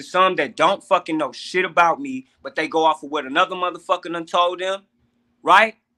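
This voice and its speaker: With a bright, sharp tone and a high pitch, a man with an American accent talks at a fairly quick pace, with big swings in loudness and a dry, close sound with no echo. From US Midwest, St. Louis, Missouri. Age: 30s. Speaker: podcast guest. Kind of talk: casual chat. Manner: animated.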